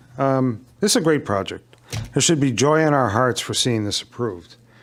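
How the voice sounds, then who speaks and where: This man has a medium pitch and ordinary pitch variation. His is an unremarkable speaking voice. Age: 60s. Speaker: resident speaking at public hearing. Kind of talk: public comment at town meeting. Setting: town commission meeting.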